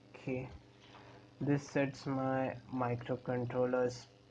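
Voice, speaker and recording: There is noticeable background noise as a man speaks at a very slow pace. His medium pitch stays monotone, with flat intonation. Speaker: electronics tutorial maker. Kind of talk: tutorial screencast narration. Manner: casual, hesitant.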